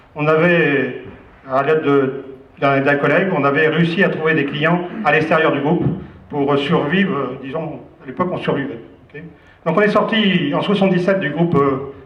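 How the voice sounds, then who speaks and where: A man's fairly high voice with ordinary pitch variation, amid noticeable background noise and audible room echo. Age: 60s. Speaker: business owner. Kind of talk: speech to staff. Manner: hesitant, many fillers.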